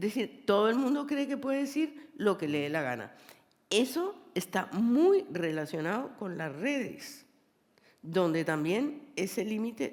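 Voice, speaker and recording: Speaking at a fairly slow pace, a woman uses a medium pitch with very wide pitch swings. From Colombia. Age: 70s. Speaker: poet and novelist. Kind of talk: public conversation on stage.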